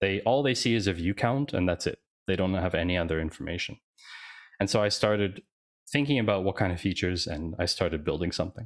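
Very deep and low, a man's voice races at a very fast pace with ordinary pitch variation. The recording is very clean and dry, close with no echo and a silent background. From Canada and Switzerland. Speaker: data analyst and startup founder. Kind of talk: interview.

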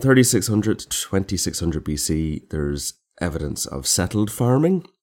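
With an Irish accent, a man speaks at a fairly low pitch, his voice swinging very widely in pitch and greatly in loudness. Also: moderate pace. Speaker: podcast co-host. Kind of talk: casual chat. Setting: remote call.

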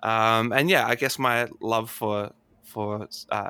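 Bright, sharp tone from a man of medium pitch with an Australian accent and ordinary pitch variation. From Australia, Adelaide. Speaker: astronomer and science communicator. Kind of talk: casual interview.

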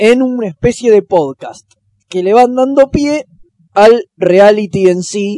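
In a Rioplatense accent, the speaker goes at a very slow pace with a dark, mellow tone and lively intonation, in a dry, close sound with no echo. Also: man, high pitch for a man. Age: 30s. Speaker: podcast host. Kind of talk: casual chat.

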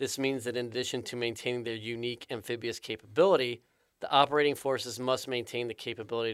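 The recording is very clean against a silent background. In it, a man speaks very fast. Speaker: podcast host. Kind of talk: interview. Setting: studio.

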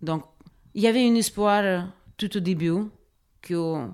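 Here a woman speaks at a medium pitch. Her pace is fairly slow and her intonation fairly even. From Ukraine, Donetsk. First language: Ukrainian or Russian (speaking French). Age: 30s. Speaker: social worker and refugee helper. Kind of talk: interview testimony. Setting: refugee reception centre. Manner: halting, many hesitations.

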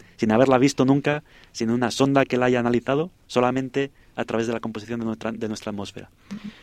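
At a very fast pace, a man talks at a medium pitch, and the sound is dry and close with no echo. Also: ordinary pitch variation. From Spain. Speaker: astrobiologist. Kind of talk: radio interview.

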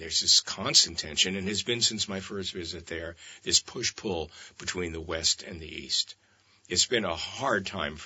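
A man speaks at a moderate pace with a very deep, low pitch. His loudness swings a lot, while his pitch varies in an ordinary way. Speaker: author. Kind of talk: radio interview. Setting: studio.

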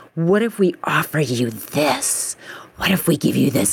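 With an American accent, a woman speaks at a moderate pace using very wide pitch swings. Noticeable background noise runs underneath. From US, suburbs of Washington DC. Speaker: painter. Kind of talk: casual chat.

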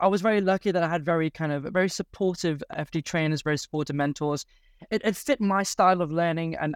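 Recorded very clean with a silent background and a dry, close sound with no echo, a man speaks at a very fast pace with a fairly high pitch and fairly even intonation. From Leamington Spa, England. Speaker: general dentist, guest. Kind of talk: casual interview, explaining.

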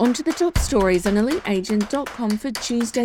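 Music plays in the background as a woman talks in an upbeat tone at a fairly quick pace with lively intonation. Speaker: news presenter. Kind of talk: news reading, scripted real estate news bulletin. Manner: brisk; clear, polished, upbeat.

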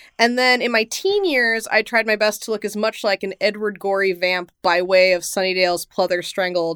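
The sound is dry and close with no echo, and the recording is very clean with a silent background. The pace is moderate, with ordinary pitch variation. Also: woman, hardly any pauses. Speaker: podcast host. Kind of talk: casual banter, playful horror-themed chat. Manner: playful, animated.

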